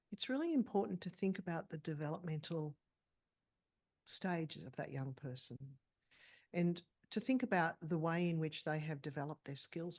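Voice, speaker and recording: With an Australian accent, the speaker moves at a moderate pace with lively intonation and long, frequent pauses over a quiet background. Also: woman. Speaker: clinical psychologist. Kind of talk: interview.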